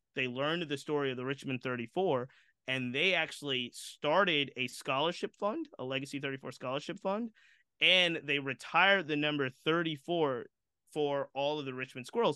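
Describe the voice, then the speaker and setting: A man speaks in a normal speaking voice at a moderate pace. His pitch is fairly high, with ordinary pitch variation. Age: 40s. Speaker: baseball history podcaster. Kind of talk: interview.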